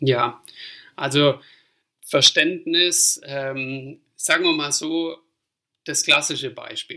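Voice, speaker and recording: A man's fairly high voice carries a bright, sharp tone and fairly even intonation. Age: 30s. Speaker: fitness manager in family trade business. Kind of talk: interview. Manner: hesitant, many filler sounds.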